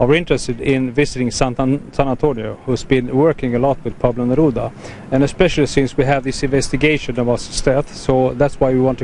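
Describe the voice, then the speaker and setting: A man with a Swedish accent speaks at a fairly quick pace in a medium pitch, his intonation fairly even, with noticeable background noise behind him. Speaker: politician. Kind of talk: interview. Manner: halting.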